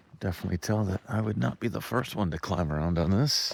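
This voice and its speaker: A man with a very deep, low voice and vocal fry talks at a fairly quick pace. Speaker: off-road travel vlogger. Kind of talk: casual vlog narration. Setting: outdoors.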